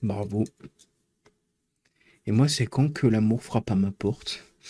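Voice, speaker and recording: Very slowly, a man speaks in a dark, mellow tone. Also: medium pitch for a man, dry, close sound with no echo. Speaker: live streamer. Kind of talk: live stream casual chat. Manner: loud; animated.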